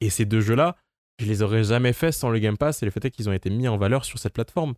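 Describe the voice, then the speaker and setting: At a fairly quick pace, an ordinary speaking voice carries ordinary pitch variation. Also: man, dry, close sound with no echo, very clean recording, silent background. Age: 20s. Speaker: campus radio co-host. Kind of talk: casual chat.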